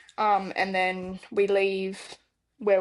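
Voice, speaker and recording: A woman's medium-pitched voice with an Australian accent, over a quiet background. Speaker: stage manager, podcast co-host. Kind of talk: casual chat.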